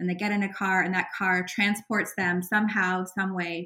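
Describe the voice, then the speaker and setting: A woman with a Canadian accent, her tone bright and sharp, medium in pitch, at a moderate pace, on a very clean recording with a silent background. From Canada. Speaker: author and cycling advocate. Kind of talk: interview.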